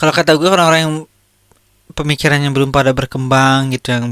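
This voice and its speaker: The man's voice is shrill. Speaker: podcast host. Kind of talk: casual commentary on viral content. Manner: animated.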